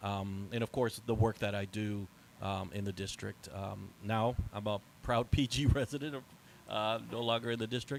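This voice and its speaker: This man has an unremarkable speaking voice, fairly low in pitch, with ordinary pitch variation at a moderate pace. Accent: American. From Northern Virginia. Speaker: community organizer. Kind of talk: panel discussion.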